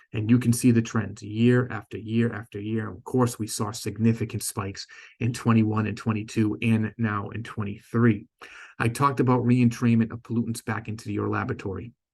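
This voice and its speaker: In a Boston accent, a man talks at a fairly quick pace and medium pitch, somewhat breathy, with a monotone, flat intonation. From Boston, US. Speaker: company sales director presenting. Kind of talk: conference presentation. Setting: stage with audience. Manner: stumbles and self-corrects often.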